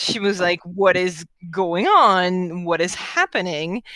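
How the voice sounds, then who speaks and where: A woman speaks at a very slow pace with a French accent. Her tone is bright and sharp, and her pitch sits at a medium level. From France. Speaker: tabletop game master. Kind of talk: game session recap. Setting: live stream.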